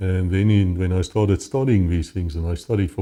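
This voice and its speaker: In a South African accent, a man speaks at a moderate pace with a fairly low pitch and ordinary pitch variation against a quiet background. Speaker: former police officer. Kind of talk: interview testimony. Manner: halting.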